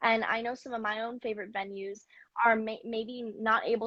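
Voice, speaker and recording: With a General American accent, a woman with an ordinary speaking voice talks at a moderate pace, fairly high in pitch and fairly even in intonation. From US, Mid-Atlantic. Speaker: singer. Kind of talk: interview answers.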